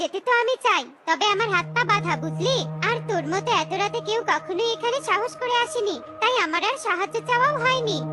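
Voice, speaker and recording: A woman's cartoonish character voice at an extremely high pitch over loud music in the background. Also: moderate pace. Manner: familiar, addresses the listener with tui.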